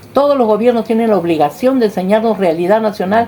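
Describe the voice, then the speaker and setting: A woman speaks at a very fast pace with a fairly high pitch and ordinary pitch variation. Noticeable background noise is present. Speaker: interviewee. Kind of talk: interview. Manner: animated.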